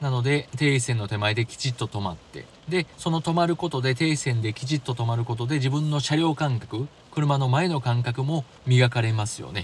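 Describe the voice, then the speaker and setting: Somewhat breathy, a man talks at a moderate pace and medium pitch, with ordinary pitch variation. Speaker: driving podcast host. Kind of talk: solo podcast talk.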